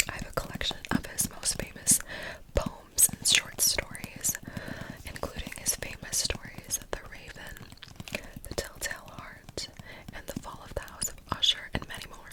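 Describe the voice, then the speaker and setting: A woman whispers at a moderate pace, her loudness swinging widely, with noticeable background noise. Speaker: ASMR creator. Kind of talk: ASMR intro talk to camera. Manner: whispered.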